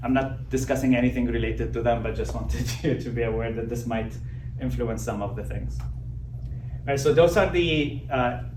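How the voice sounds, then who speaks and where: A man speaks quietly at a moderate pace, with noticeable background noise and audible room echo. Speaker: neurologist. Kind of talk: lecture. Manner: drops voice and goes quiet.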